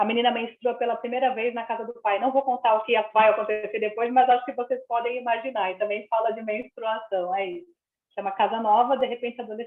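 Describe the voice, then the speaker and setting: A woman with a fairly high voice speaks at a fairly quick pace. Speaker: children's and young adult author. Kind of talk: live reading circle Q&A on video call. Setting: video call. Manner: very fast; animated.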